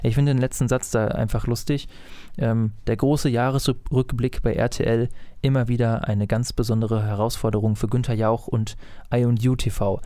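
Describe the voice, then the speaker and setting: A man with a medium pitch and a dark, mellow tone speaks at a moderate pace, his intonation fairly even and his loudness very even. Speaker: podcast co-host, citizen media maker. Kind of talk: casual chat.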